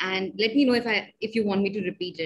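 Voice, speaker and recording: A somewhat breathy voice with ordinary pitch variation. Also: woman. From India. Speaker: podcast host, tech worker. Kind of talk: interview. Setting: video call. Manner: halting, frequent fillers. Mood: friendly, animated. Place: home room. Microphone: webcam.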